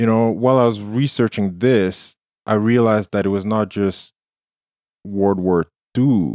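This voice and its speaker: A man talks at a moderate pace in a dark, mellow tone, with long, frequent pauses. His loudness stays very even and his intonation fairly even. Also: fairly low pitch for a man. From war-torn country outside Canada. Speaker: podcast co-host. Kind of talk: interview.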